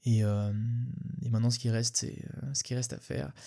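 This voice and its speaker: Speaking at a very fast pace in a flat monotone, a man with a dark, mellow tone and a somewhat breathy voice is heard on a very clean recording with a silent background. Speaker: podcast host. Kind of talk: solo podcast monologue. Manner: halting, stumbling over words.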